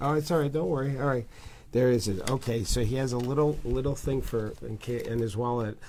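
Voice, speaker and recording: Audible room echo carries a man's medium-pitched voice with a dark, mellow tone. He talks at a fairly quick pace with ordinary pitch variation. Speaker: motivational speaker. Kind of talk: casual interview. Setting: at guest's home, early morning.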